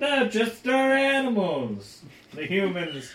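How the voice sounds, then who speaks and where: A man puts on a character voice at an extremely high pitch, speaking at a fairly slow pace. There is a slight echo. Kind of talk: theatrical, made up on the spot. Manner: sinister, menacing.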